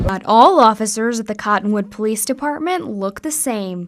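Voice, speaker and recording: A woman with a normal speaking voice talks at a moderate pace and fairly high pitch, her intonation lively. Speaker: TV news reporter and anchor. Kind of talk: TV news package narration.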